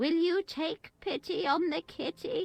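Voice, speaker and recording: A woman puts on a squeaky character voice at an extremely high pitch with ordinary pitch variation. She goes at a fairly slow pace, and the sound is dry and close with no echo. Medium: video game. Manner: gossipy, sly.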